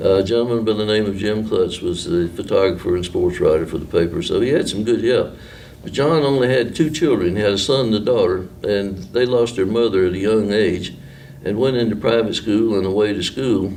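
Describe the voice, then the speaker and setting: Audible room echo and noticeable background noise accompany a man with an Appalachian accent, who talks fairly quickly at a fairly low pitch with ordinary pitch variation. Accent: Appalachian Southern US. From western North Carolina, Marion. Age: 70s. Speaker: retired newspaperman. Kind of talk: oral history interview. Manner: casual, hesitant with fillers.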